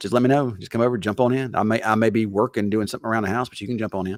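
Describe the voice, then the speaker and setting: A man speaks with a strong Southern US accent and fairly even intonation. The recording is very clean, with a silent background. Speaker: TV weatherman. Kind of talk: casual chat. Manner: halting, repetitive.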